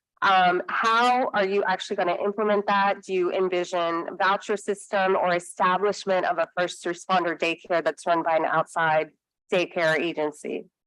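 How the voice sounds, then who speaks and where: Loudness stays very even and intonation fairly even. There are hardly any pauses. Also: woman, medium pitch for a woman. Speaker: city council member. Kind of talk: confirmation hearing questioning. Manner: fast.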